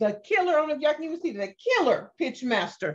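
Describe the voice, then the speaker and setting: Over noticeable background noise, a speaker with an American accent talks very fast in an animated tone, with very wide pitch swings. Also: woman. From US Midwest, St. Louis, Missouri. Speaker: business pitch coach. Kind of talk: self-introduction pitch / workshop talk. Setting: video call.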